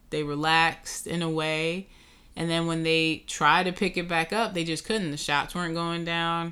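A woman with a New York accent talks at a fairly low pitch and a moderate pace, with a bright, sharp tone and monotone, flat intonation, on a very clean recording with a silent background. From Brooklyn, New York. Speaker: sports podcast co-host. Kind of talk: casual chat.

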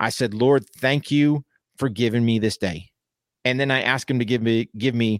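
Medium pitch from a man with ordinary pitch variation, in a dry, close sound with no echo and a very clean recording with a silent background. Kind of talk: pep talk. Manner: direct, urgent, motivational, punchy second-person commands; earnest, folksy, blunt, and emphatic.

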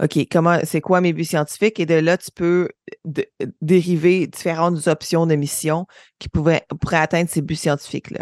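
At a moderate pace, a woman talks with a fairly low pitch and monotone, flat intonation. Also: big swings in loudness. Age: 30s. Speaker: aerospace engineer. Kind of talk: interview. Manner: hesitant fillers.

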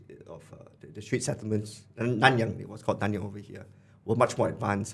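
With music in the background, a man speaks at a fairly low pitch and with fairly even intonation. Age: 30s. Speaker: investor and former venture builder. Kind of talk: casual chat. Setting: studio. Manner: halting, many repeated words.

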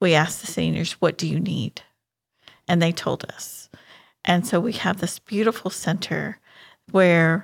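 Speaking fairly slowly with an American accent, a woman uses a fairly low pitch, ordinary pitch variation and vocal fry, captured on a very clean recording over a silent background. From Houston, Texas. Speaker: charity coordinator. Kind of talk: casual interview.

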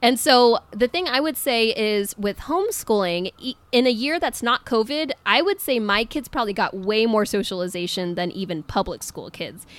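In a plain, everyday voice, a woman with a fairly high pitch and lively intonation speaks at a moderate pace with hardly any pauses. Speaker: podcast co-host, homeschool parent. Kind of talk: casual interview chat.

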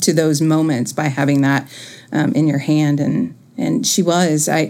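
At a moderate pace, a woman with an American accent speaks in a plain, everyday voice, her pitch varying in the usual way. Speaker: niece of Nancy Cruzan, educator.

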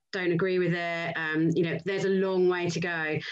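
A woman with a fairly low pitch speaks at a fairly quick pace, with audible room echo. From Lowestoft, Suffolk, East Anglia (England). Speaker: sales director and business co-founder. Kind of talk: interview.

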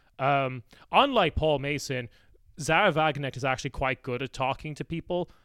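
In an Irish accent, a man talks at a moderate pace and fairly high pitch with ordinary pitch variation, the sound dry and close with no echo. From Ireland. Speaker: political podcaster, guest. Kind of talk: casual chat.

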